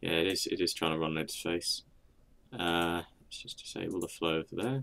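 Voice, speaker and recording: The voice is quiet and keeps a moderate pace. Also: man. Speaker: gaming video creator. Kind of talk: gameplay commentary. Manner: casual, halting.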